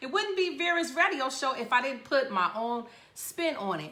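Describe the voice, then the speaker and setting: A woman projects her high voice loudly at a moderate pace, her pitch swinging very widely. The room echo is audible. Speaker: radio show host. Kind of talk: casual talk show monologue.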